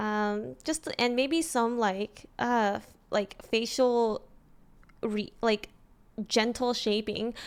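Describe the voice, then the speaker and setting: The woman talks at a very slow pace. Her pitch is fairly high. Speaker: livestreamer. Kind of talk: casual chat. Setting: live stream. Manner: halting.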